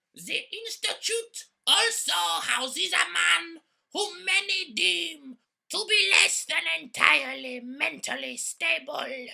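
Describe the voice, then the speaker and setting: A woman's cartoonish character voice, high-pitched and fairly slow. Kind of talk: mock-epic fairy-tale narration. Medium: puppet show. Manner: grandiose, dryly comic.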